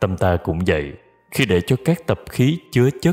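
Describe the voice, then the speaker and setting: Music plays in the background. A man speaks in a calm tone. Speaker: singer. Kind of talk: spiritual reading. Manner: slow, calm.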